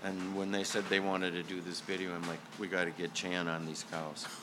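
A man with a very deep, low pitch speaks at a moderate pace. His intonation is monotone and flat, with noticeable background noise. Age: 50s. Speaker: rock drummer. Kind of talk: casual interview. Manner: hesitant, with fillers and repeats.

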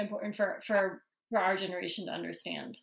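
A woman with a New Jersey accent talks at a fairly quick pace. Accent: American (New Jersey). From New Jersey suburbs. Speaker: podcast co-host. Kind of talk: casual interview.

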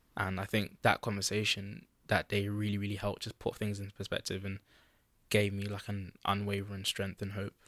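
A man with a London accent, fairly low in pitch, at a fairly quick pace with monotone, flat intonation, in a dry, close sound with no echo. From East London, England (moved from Holland at four). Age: young. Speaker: podcast guest sharing life story. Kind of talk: casual interview. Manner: halting, hesitant.

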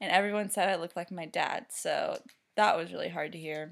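A woman mumbles with ordinary pitch variation. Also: very clean recording, silent background. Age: 20s. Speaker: vet clinic worker, host's sister. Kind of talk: casual chat. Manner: mumbling.

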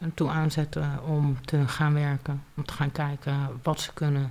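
The delivery is monotone, with flat intonation, at a fairly slow pace. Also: woman. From Leiden, Netherlands. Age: 30s. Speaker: single mother on welfare. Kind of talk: interview testimony.

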